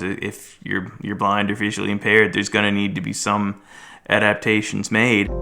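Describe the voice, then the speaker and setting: A man with a Maritime Canadian accent talks fairly quickly in a fairly low pitch with a bright, sharp tone, recorded very cleanly against a silent background. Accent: Maritime Canadian (PEI). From western Prince Edward Island, Canada. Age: 30s. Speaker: office worker, blind since birth. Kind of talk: personal testimony interview. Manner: halting, frequent repetitions and fillers.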